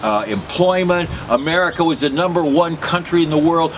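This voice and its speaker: Noticeable background noise runs under this recording. A man talks at a moderate pace in a high pitch with ordinary pitch variation. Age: 70s. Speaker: political commentator. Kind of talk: political monologue. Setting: live broadcast.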